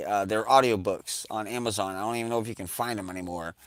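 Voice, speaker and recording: With an American accent, a man's voice comes through a very clean recording where the background is completely silent. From New York. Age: 40s. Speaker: livestream host. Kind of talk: casual chat. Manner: halting.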